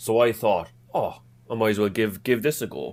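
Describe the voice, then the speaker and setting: Over a silent background in a very clean recording, a man with an Irish accent talks at a moderate pace. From Ireland, Cork. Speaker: football fan. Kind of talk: podcast interview. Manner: halting, many repeated words.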